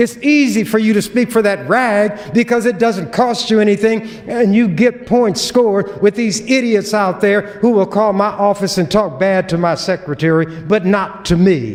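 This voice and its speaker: A man talks at a moderate pace in a high pitch with ordinary pitch variation, very even loudness and hardly any pauses. Noticeable background noise sits behind him. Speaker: state legislator. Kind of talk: legislative floor speech. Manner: forceful, confrontational.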